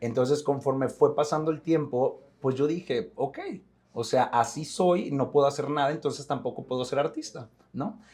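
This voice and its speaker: This man speaks in a fairly high pitch. His voice is somewhat breathy. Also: ordinary pitch variation, moderate pace. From Mexico, Monterrey. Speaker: actor. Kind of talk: interview. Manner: repetitions, restarts.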